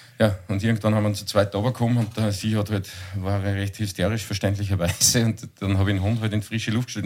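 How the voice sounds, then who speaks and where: At a very fast pace with hardly any pauses, a man talks in a fairly low voice with monotone, flat intonation. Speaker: podcast co-host. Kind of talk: casual chat.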